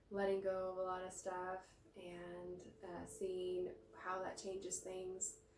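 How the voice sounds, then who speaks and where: Amid audible room echo, a woman speaks at a very slow pace in a monotone, flat voice, her loudness swinging widely. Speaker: massage therapist. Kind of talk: guided movement tutorial. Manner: halting, many fillers; slow, reflective.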